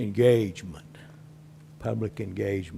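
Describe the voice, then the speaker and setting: A man speaking at a fairly slow pace. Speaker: citizen speaker. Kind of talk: public comment. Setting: public meeting.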